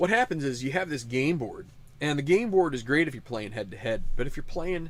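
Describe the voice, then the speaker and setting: A man with an American accent talks at a fairly quick pace. His pitch is fairly high and swings very widely. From Western New York. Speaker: tabletop sports sim host. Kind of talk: casual commentary. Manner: halting, many fillers.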